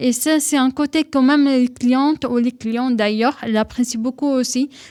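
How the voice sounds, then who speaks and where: A woman with a Syrian accent speaks at a moderate pace in a high pitch, with fairly even intonation, very even loudness, and a dry, close sound with no echo. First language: Arabic (speaking French). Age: 20s. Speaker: henna tattoo artist. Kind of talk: radio interview.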